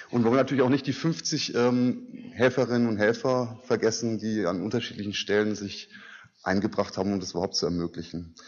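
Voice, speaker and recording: A man races along at a very fast pace, his pitch varying in an ordinary way. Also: medium pitch for a man. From Germany. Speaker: basic income network board member. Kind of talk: conference speech. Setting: stage with audience. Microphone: podium.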